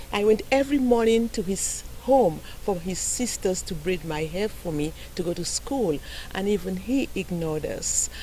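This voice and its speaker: Noticeable background noise is present throughout. Over it, a woman keeps a moderate pace. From Saint Lucia, Gros Islet. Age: 60s. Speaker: heir in a land dispute. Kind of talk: news interview.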